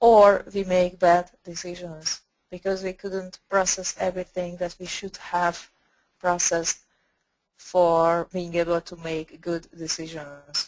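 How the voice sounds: At a slow pace, the voice has a slightly mellow tone and little pitch movement. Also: woman, fairly low pitch for a woman.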